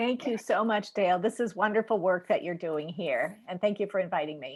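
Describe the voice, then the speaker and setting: A woman speaks at a fairly quick pace in a normal speaking voice, her pitch medium with ordinary variation. The background is quiet. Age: 50s. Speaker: nurse and health coach. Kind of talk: interview.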